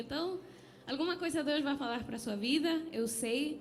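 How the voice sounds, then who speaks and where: A woman with a non-native accent and ordinary pitch variation, amid noticeable background noise and audible room echo. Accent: foreign accent in Portuguese. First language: not Portuguese (speaking Portuguese). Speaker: preacher. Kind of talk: sermon. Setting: church.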